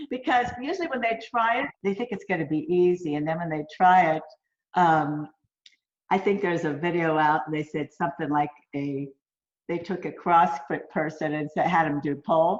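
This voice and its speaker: A woman speaks at a moderate pace in a fairly low voice, with ordinary pitch variation. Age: 60s. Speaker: pole sports athlete. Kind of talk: interview. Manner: animated.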